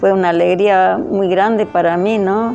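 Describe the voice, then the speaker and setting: Over music in the background, a woman speaks fairly slowly at a medium pitch. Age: 80s+. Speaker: church member. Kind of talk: testimony. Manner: halting.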